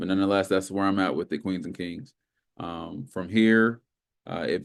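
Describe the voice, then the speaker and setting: The background is quiet. A man speaks in a fairly low pitch. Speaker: trading instructor. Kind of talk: tutorial. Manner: fast; casual.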